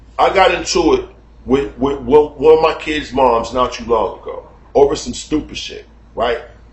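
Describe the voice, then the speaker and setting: Noticeable background noise sits behind a man's voice. His tone is animated and his pace moderate. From United States. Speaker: YouTube commentator. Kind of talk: casual monologue. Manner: loud and animated.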